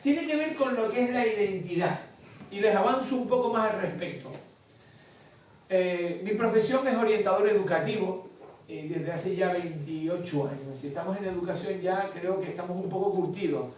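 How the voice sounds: A man with a Canarian accent speaks at a moderate pace in a high pitch, his tone slightly mellow with ordinary pitch variation. Strong room echo fills the recording.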